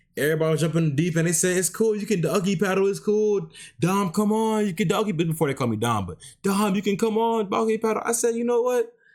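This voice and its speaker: Loud and animated in tone, a man speaks at a fairly quick pace with very wide pitch swings on a very clean recording with a silent background. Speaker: streamer reacting to videos. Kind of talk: live stream reaction commentary.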